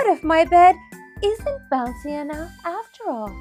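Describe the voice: A woman performs a put-on character voice at an extremely high pitch, with big pitch swings and a slightly mellow tone. She speaks at a fairly slow pace while faint music plays in the background.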